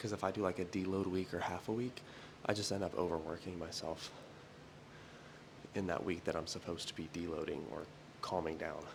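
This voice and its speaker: A soft-spoken man with a very deep, low pitch and ordinary pitch variation, at a fairly quick pace broken by long, frequent pauses. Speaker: fitness vlogger. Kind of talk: casual vlog monologue. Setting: at home doing early morning cardio. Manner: quiet, talking softly.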